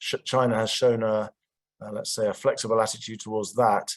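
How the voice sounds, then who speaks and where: Recorded dry and close with no echo, a man speaks at medium pitch in a monotone, flat intonation. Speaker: diplomat. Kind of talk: panel discussion remarks. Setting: video call. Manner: halting, many fillers.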